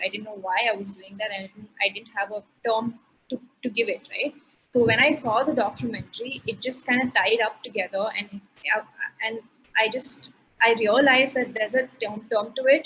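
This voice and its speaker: A woman with a plain, everyday voice talks at a fairly quick pace, with a fairly high pitch and fairly even intonation. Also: big swings in loudness. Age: 20s. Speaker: chef. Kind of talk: interview answer.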